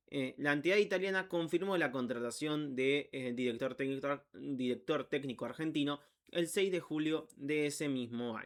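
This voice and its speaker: Hardly pausing, a man talks at a fairly high pitch with ordinary pitch variation. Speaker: football YouTuber. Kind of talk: unedited narration of a biography with asides. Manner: slow; halting, stumbles over words.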